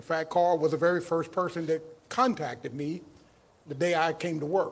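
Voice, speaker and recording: A man with a Southern US accent, his pitch fairly high, at a moderate pace. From Mississippi. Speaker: county equity director; guest. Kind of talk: casual chat. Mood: warm, earnest, welcoming. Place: stage. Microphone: handheld.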